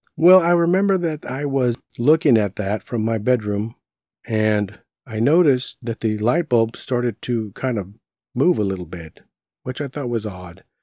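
A man with a Texan accent speaks at a moderate pace, his tone dark and mellow. His intonation is lively, and the recording is very clean with a silent background. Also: medium pitch for a man, dry, close sound with no echo. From Southeast Texas, Beaumont. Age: 50s. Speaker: paranormal podcast host. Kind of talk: personal storytelling.

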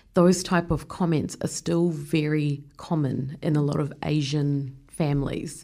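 Monotone and flat, the voice has a dark, mellow tone and a New Zealand accent, moving at a fairly slow pace with hardly any pauses and very even loudness. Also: woman, very deep, low pitch for a woman. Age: 30s. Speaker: podcast host. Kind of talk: interview.

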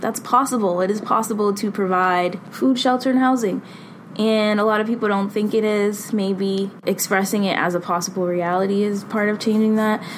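Speaking at a moderate pace in an ordinary speaking voice, a woman keeps a medium pitch, fairly even intonation and very even loudness. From Boston. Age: 20s. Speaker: consultant and substitute teacher. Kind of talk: personal reflection monologue.

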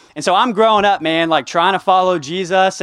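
Speaking with a Texan accent at a fairly quick pace, a man has a high pitch and ordinary pitch variation. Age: 20s. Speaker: campus ministry director. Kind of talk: sermon.

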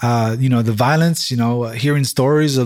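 With a New York accent, a man talks at a moderate pace and medium pitch, his intonation fairly even. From Brooklyn, New York City. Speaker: church-planting pastor. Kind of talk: interview testimony.

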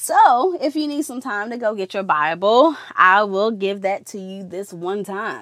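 A woman's medium-pitched, normal speaking voice with an American accent, lively intonation and a fairly slow pace, on a very clean recording with a silent background. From Georgia, US. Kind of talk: devotional podcast talk with bible reading. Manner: casual, chatty with fillers.

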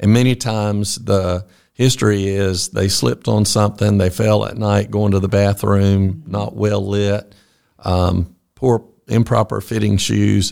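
A man's fairly low voice with fairly even intonation and a Southern US accent on a very clean recording with a silent background. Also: fairly slow pace. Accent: Southern US (Georgia). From US South, Georgia (Fitzgerald). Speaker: orthopedic surgeon. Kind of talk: interview.

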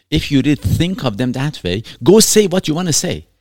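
A man with a non-native accent speaks with very wide pitch swings. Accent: foreign. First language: not English. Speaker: podcast host, runs own practice. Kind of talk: casual chat. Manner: hesitant, frequent fillers and laughter.

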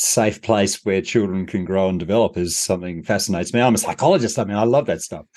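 Over a quiet background, a man with an Australian accent talks at a fairly low pitch with ordinary pitch variation. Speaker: leadership consultant and author. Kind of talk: interview conversation.

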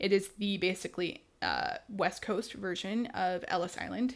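A woman with an American accent talks at a moderate pace and medium pitch. Her intonation is fairly even, with vocal fry. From Houston, Texas. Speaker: podcast co-host, student. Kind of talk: casual chat. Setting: video call.

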